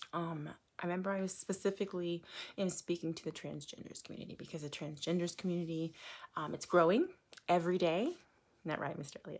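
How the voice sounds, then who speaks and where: A woman's fairly low voice at a fairly quick pace, on a very clean recording with a silent background. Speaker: online preacher. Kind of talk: casual monologue. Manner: loud; halting, many fillers.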